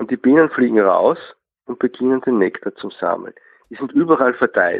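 A man is speaking. He goes at a fairly quick pace. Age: 50s. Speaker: beekeeper. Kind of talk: interview. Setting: phone call.

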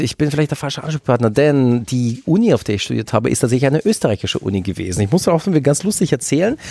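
A man with a fairly high voice swings very widely in pitch, recorded dry and close with no echo. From southwestern Germany, Freiburg im Breisgau. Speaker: teacher. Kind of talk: casual chat.

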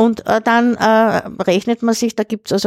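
On a very clean recording with a silent background and a dry, close sound with no echo, an unremarkable speaking voice moves at a moderate pace. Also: woman. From Austria, Lower Austria near Vienna. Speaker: retired school principal and beekeeper. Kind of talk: casual chat.

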